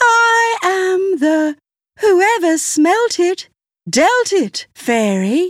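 A female-sounding put-on character voice speaks at an extremely high pitch and a very slow pace.

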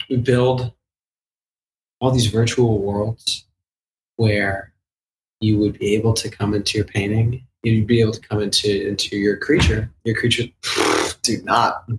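A man's medium-pitched, somewhat breathy voice at a fairly slow pace, flat and monotone, with long, frequent pauses. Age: 20s. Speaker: artist and NFT project founder. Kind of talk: interview. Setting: video call. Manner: halting.

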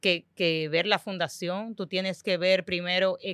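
Fairly even in intonation and fairly slow in pace, this is an ordinary speaking voice. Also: woman. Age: 30s. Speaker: financial educator. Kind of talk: casual chat.

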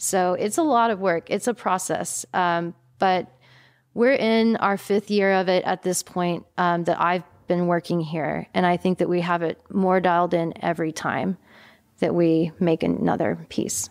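A woman speaks in a normal speaking voice with an American accent, fairly low in pitch and with ordinary pitch variation. Her loudness stays very even on a very clean recording with a silent background. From Texas. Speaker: fashion business owner. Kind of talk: interview.

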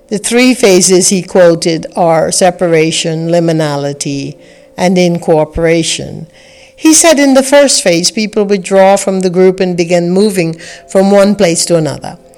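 Against noticeable background noise, a woman talks at a moderate pace and a medium pitch. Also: ordinary pitch variation. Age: 60s. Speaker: spiritual teacher and podcast host. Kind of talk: reflective spiritual talk.

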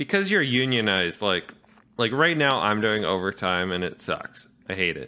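A man speaks with vocal fry at a fairly low pitch. His pitch swings very widely. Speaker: podcast co-host. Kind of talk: casual chat.

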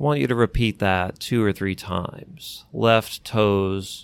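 In a calm, soothing tone, a man speaks at a very slow pace with a fairly low pitch and ordinary pitch variation. The recording is very clean, with a silent background. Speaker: clinical hypnotherapist and co-host. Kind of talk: guided relaxation exercise. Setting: podcast. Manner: slow, calm, soothing, instructing the listener step by step.

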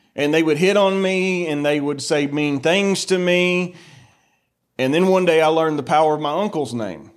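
Speaking at a moderate pace, a man with an American accent uses a fairly high pitch and ordinary pitch variation. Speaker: preacher. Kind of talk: sermon. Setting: church. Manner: loud; animated.

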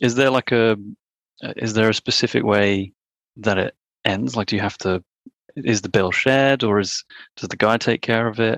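A man with an English accent speaks at medium pitch and a moderate pace, with fairly even intonation and long, frequent pauses, in a dry, close sound with no echo and a quiet background. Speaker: marketing worker. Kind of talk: casual chat.

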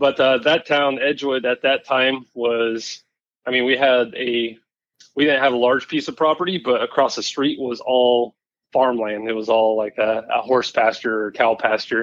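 Speaking with a Pacific Northwest accent, a man keeps a medium pitch, fairly even intonation and a moderate pace. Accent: Pacific Northwest American. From Western Washington, Puyallup area. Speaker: digital marketing worker in off-road industry. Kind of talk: casual interview chat.

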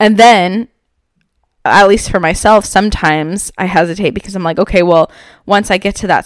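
The speaker moves at a fairly quick pace in an animated tone. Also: woman. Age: 20s. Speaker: podcast host and entrepreneur. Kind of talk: casual motivational monologue.

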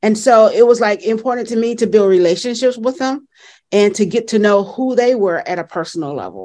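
A woman with a Southern US accent at a fairly quick pace, fairly high-pitched with ordinary pitch variation and a dark, mellow tone, over a quiet background. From US South. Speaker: education consultant and author. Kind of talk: interview conversation.

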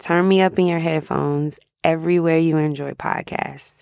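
A woman sounds animated while speaking at a fairly slow pace in a very clean recording with a silent background. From Jacksonville, Florida (US South). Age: 30s. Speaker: podcast host. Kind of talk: casual monologue.

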